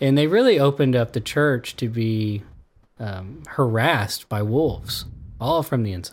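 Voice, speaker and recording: At a moderate pace and medium pitch, a man with an ordinary speaking voice uses lively intonation in a very clean recording with a silent background. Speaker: radio host. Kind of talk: casual interview discussion.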